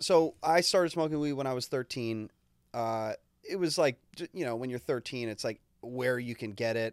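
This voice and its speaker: A man speaks in a plain, everyday voice at a medium pitch and moderate pace, with ordinary pitch variation. The sound is dry and close, with no echo. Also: very clean recording, silent background. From Canada. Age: 30s. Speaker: podcast co-host, music engineer. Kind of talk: casual chat.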